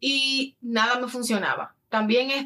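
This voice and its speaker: This is a woman speaking. She has a Dominican accent. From Dominican Republic. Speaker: lifestyle influencer and addiction counselor. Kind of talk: casual interview.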